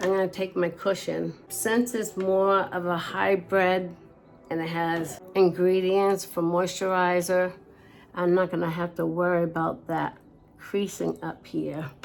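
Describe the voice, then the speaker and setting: A woman's fairly low-pitched, monotone, flat delivery at a fairly slow pace, with music in the background. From New England. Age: 60s. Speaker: beauty vlogger. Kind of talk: makeup tutorial. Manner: casual, chatty.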